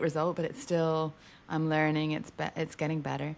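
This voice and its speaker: This woman's voice is very deep and low. She has an American accent. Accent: British with slight American twang. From England. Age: 40s. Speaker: racing driver. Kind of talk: interview.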